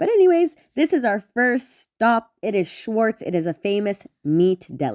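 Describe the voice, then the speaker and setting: An animated tone with very wide pitch swings in a dry, close sound with no echo. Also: woman, fairly high pitch for a woman, fairly slow pace, hardly any pauses. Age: 20s. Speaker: travel vlogger. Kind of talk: casual vlog narration.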